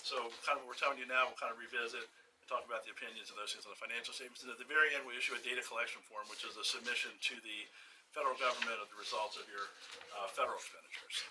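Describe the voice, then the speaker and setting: A man speaks at a very fast pace with big swings in loudness, against noticeable background noise. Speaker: external auditor. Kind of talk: formal audit presentation.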